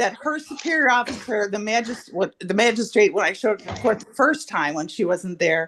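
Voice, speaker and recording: Over music in the background, a woman talks at a fairly quick pace with a fairly high pitch, very wide pitch swings and big swings in loudness. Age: 60s. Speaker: defendant. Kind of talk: courtroom testimony. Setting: courtroom. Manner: halting.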